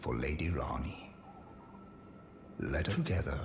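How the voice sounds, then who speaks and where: Over clear background noise, a man puts on a character voice, very deep and low in pitch, at a moderate pace. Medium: video game. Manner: earnest, formal.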